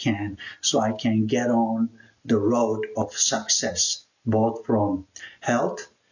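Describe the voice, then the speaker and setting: A man's somewhat breathy, medium-pitched voice with a Turkish accent at a very slow pace. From Turkey (Istanbul). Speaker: YouTuber, immigrant life coach. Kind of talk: personal introduction vlog.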